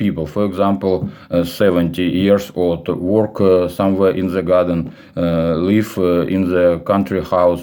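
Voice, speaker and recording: Very deep, low-pitched male speech, dark and mellow in tone, at a moderate pace. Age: 40s. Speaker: English teacher. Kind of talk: casual monologue. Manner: halting, many fillers.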